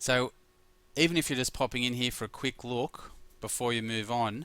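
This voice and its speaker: With an Australian accent, a man speaks in a bright, sharp yet relaxed tone on a very clean recording with a silent background. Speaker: mindfulness teacher. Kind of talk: guided meditation course talk.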